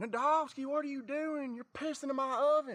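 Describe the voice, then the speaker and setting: This is a put-on character voice. It sounds nasal. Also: man. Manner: indignant.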